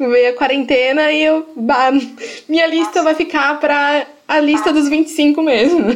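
A woman's high-pitched voice at a fairly slow pace, with very even loudness, fairly even intonation and long, frequent pauses. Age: 20s. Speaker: podcast host. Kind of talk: interview. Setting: video call.

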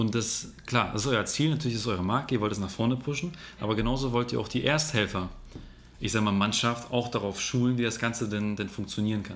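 Delivered at a very fast pace with ordinary pitch variation, the speech has audible room echo. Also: man, medium pitch for a man. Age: 20s. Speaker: podcast host. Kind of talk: interview. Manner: animated.

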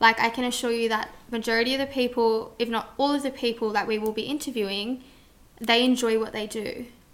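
Talking at a fairly quick pace, a woman with a fairly high pitch keeps a monotone, flat intonation. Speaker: podcast host. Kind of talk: casual chat.

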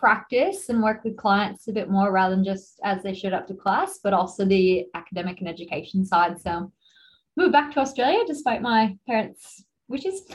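Speaking at a moderate pace, a woman uses a medium pitch with ordinary pitch variation.

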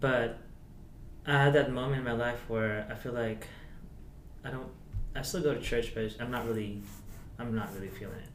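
A man with a Filipino accent speaks at a moderate pace and medium pitch, with fairly even intonation and long, frequent pauses. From Philippines. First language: Tagalog. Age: 20s. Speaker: guest. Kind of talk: casual chat. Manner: halting.

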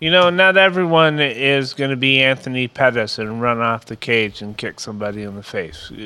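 A plain, everyday voice from a man at medium pitch, with lively intonation, big swings in loudness, a moderate pace and hardly any pauses. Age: 50s. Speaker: podcast host. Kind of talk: casual chat.

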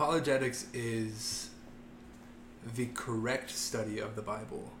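Noticeable background noise and audible room echo surround a man's voice. He speaks at a medium pitch with an American accent and fairly even intonation. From US Midwest, Ohio. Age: 20s. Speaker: youth minister. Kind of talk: casual chat.

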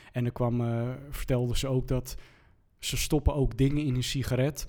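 The man's medium-pitched voice keeps to a moderate pace. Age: 30s. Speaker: TV presenter and DJ. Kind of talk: casual chat.

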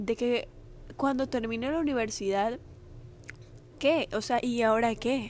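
With a high pitch and ordinary pitch variation, a woman talks. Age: 20s. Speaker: podcast host. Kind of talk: personal monologue. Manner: serious; informal.

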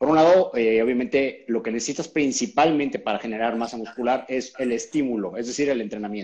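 This man has a normal speaking voice. He talks at a moderate pace. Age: 40s. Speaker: keto diet expert. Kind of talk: interview on a live stream.

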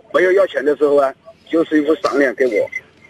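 A man talks at a fairly quick pace. The sound is dry and close with no echo, and there is noticeable background noise. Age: 40s. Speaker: taxi driver. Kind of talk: phone-in call.

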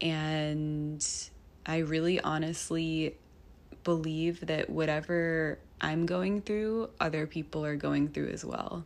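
A woman's very deep, low voice with fairly even intonation at a very slow pace. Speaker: podcast host. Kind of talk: personal monologue. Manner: free-flowing, reflective.

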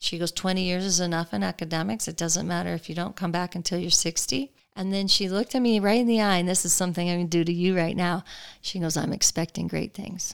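Speaking very fast with an American accent, a woman uses a fairly low pitch and ordinary pitch variation. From Colorado, US. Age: 50s. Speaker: mayor and former state legislator. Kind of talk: interview. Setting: guest's home.

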